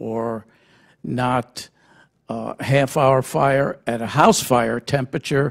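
A man speaks at a very slow pace. The background is quiet. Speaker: radioactive waste consultant; panelist. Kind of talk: panel briefing presentation. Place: hall. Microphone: podium.

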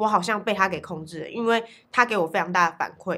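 Bright and sharp in tone, a woman talks at a fairly quick pace. Her pitch is medium. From Taiwan. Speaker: art studio owner and painting teacher. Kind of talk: interview monologue. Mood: reflective, calm. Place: studio.

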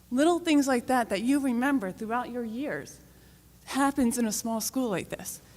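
Shaky and high-pitched, a woman with an American accent talks at a moderate pace with ordinary pitch variation. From North Stonington, Connecticut. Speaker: town resident and parent. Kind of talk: public comment at town meeting.

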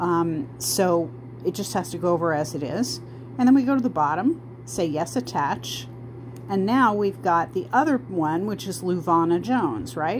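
Over noticeable background noise, a woman with a fairly low pitch talks at a moderate pace, her voice making very wide pitch swings. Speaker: genealogy researcher. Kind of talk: tutorial. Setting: in bed, recording herself. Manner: casual, with fillers and self-corrections.

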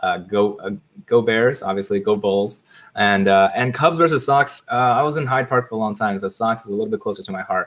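With an American accent, a man talks at a fairly quick pace in an unremarkable speaking voice, medium in pitch with ordinary pitch variation. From Chicago. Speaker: investing content creator. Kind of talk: casual interview chat.

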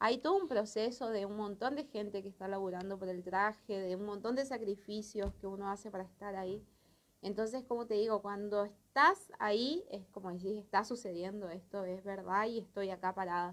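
The woman's delivery keeps a moderate pace. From Corrientes, Argentina. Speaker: carnival dancer; interviewee. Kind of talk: interview. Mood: emotional, lively recollection. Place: studio. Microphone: handheld.

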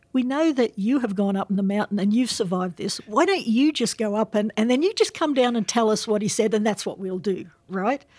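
A woman with a fairly high voice talks at a fairly quick clip with hardly any pauses and ordinary pitch variation, recorded very cleanly against a silent background. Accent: Australian. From Australia. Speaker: professor. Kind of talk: interview.

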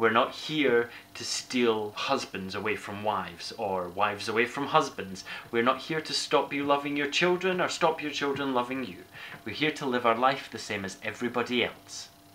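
With an Edinburgh accent, a man speaks at a moderate pace and with lively intonation over light background noise. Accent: Scottish (Edinburgh). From Scotland. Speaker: vlogger. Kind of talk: casual vlog. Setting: outdoors. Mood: earnest, impassioned. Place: kitchen. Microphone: webcam.

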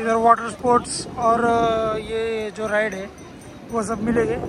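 A man speaks at an extremely high pitch in a fairly bright tone and monotone, flat intonation, with faint background noise. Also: fairly slow pace.

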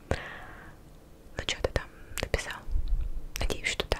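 Noticeable background noise is present. Under it, a woman whispers. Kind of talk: ASMR video. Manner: whispered.

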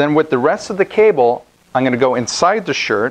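Intonation is lively as this man talks. He keeps to a moderate pace. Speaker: product demonstrator. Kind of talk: tutorial. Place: studio.

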